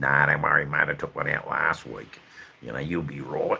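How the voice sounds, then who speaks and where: In a put-on character voice, a man speaks with very deep, low pitch and an Australian accent. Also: moderate pace. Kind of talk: casual, colloquial. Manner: reassuring.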